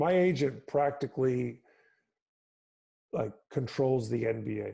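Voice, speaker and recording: This man has an American accent and a medium pitch, with a dark, mellow tone. He talks at a fairly slow pace and sounds somewhat breathy. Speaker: professional basketball player. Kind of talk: casual interview chat. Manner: warm and humorous.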